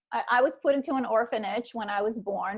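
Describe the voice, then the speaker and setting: Pitch moves with ordinary variation. Speech comes at a moderate pace. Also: woman. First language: not English. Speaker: trauma recovery author and coach. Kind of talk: interview conversation. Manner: halting, many repetitions.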